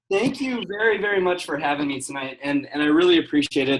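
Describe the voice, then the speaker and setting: Very fast speech with ordinary pitch variation over music in the background. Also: man. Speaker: business coach. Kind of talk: guest talk on a conference call. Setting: conference call. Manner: high energy, intense.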